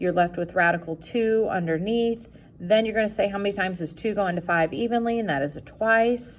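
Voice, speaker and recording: An unremarkable speaking voice from a woman, medium pitch and ordinary pitch variation at a fairly quick pace, on a very clean recording with a silent background. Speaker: math teacher. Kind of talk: classroom lecture.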